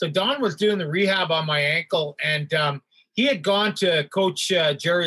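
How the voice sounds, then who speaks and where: With a Canadian accent, the voice has a bright, sharp tone and ordinary pitch variation. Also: man. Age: 60s. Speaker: hockey athletic trainer and stand-up comedian. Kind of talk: casual interview with storytelling.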